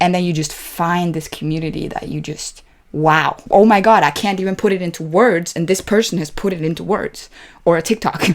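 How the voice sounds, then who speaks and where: Recorded very cleanly against a silent background, a woman talks at a fairly quick pace with fairly even intonation. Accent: non-native. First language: not English. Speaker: movie reaction youtuber. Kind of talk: casual reaction commentary. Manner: halting, many fillers and restarts.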